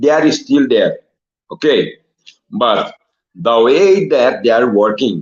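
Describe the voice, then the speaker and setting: A man speaks with a Brazilian accent. His pace is very slow. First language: Portuguese. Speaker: former footballer. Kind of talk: interview. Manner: halting.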